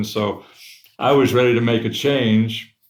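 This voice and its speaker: Room echo is clearly audible in the recording. The speaker is a man with an American accent. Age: 70s. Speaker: company founder. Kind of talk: interview.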